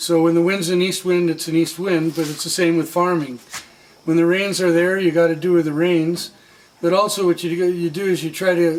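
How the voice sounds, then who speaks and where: Over noticeable background noise, a high-pitched man speaks at a moderate pace in a flat monotone. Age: 60s. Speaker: coffee farmer. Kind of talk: interview.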